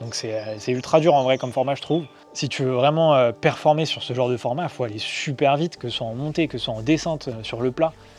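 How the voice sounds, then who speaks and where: A man at medium pitch with ordinary pitch variation and a fairly quick pace, amid noticeable background noise. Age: 20s. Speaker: trail runner vlogger. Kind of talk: casual vlog.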